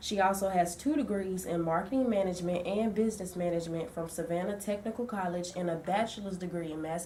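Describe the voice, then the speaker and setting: With hardly any pauses, a woman talks at a very fast pace in a fairly low pitch with ordinary pitch variation over noticeable background noise. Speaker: student intern interviewer. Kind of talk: reading an introduction; interview.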